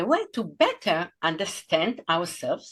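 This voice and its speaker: A woman with an Israeli accent. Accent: Israeli Hebrew accent in English. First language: Hebrew. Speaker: podcast host. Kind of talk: interview intro. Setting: video call.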